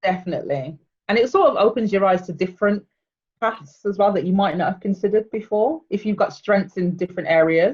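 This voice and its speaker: A woman's somewhat breathy, fairly quick speech with a slight Birmingham accent. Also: medium pitch for a woman, ordinary pitch variation. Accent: slight Birmingham (Brummie). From England, Birmingham. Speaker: PR manager. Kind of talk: casual interview chat.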